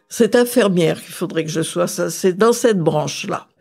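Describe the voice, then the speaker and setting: With a dark, mellow tone, a woman talks using ordinary pitch variation. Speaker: grandmother recounting her life. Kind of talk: life story interview. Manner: conversational with hesitations.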